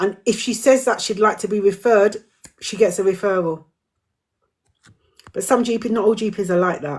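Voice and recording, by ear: The speech moves at a moderate pace with a slightly mellow tone. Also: woman, medium pitch for a woman, ordinary pitch variation.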